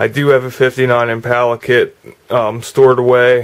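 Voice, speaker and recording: This man's voice sits at a medium pitch. He delivers everything in a monotone, flat intonation. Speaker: model car hobbyist YouTuber. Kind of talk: casual video update and tutorial. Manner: halting, many fillers.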